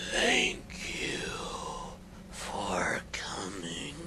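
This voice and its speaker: A whispering, put-on character voice. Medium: read story. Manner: menacing.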